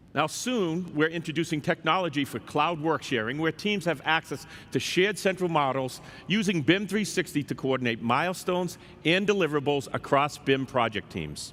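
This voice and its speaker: This man has a fairly high pitch and an American accent. His pitch variation is ordinary. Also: moderate pace. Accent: Boston accent, joked about. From Boston. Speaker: software executive. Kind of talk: conference keynote. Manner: formal.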